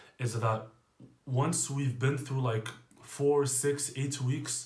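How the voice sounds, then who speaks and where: A quiet, somewhat breathy man speaks at a medium pitch and a fairly slow pace with fairly even intonation. Audible room echo surrounds his voice. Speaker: fitness coach. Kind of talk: casual monologue.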